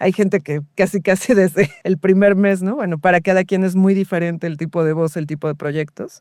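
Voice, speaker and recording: An ordinary speaking voice moves at a moderate pace with fairly even intonation and hardly any pauses, in a dry, close sound with no echo on a very clean recording with a silent background. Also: woman, medium pitch for a woman. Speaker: radio host and voice actor. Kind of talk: interview answer.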